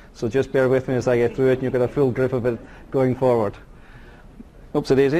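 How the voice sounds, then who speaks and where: A man with a Scottish accent talks at a very fast pace. His pitch is medium. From Scotland. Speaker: mining company executive. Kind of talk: corporate presentation. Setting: conference stage with audience.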